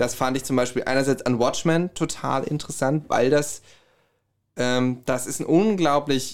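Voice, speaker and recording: In a very clean recording with a silent background, a man with a slight Hessian accent speaks at a moderate pace, fairly high in pitch and with fairly even intonation. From Hesse, Herborn. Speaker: musician and podcaster. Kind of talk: casual chat.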